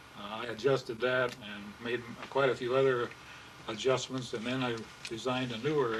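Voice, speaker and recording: Over noticeable background noise, a man with a Midwestern US accent talks at a moderate pace and medium pitch, his intonation monotone and flat, with long, frequent pauses. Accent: US Midwest. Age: 80s+. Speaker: pilot and aircraft builder. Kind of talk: interview. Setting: home room. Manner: halting.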